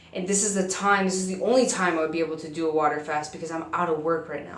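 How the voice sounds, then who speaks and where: Over noticeable background noise, a woman with an American accent talks very fast in a fairly low voice, her pitch varying in an ordinary way while her loudness swings widely. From US Midwest, South Dakota. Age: 20s. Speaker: vlogger. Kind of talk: casual vlog monologue.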